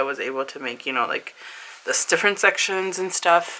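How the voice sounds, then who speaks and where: A woman speaks over noticeable background noise. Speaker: planner vlogger. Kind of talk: casual tutorial. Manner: animated.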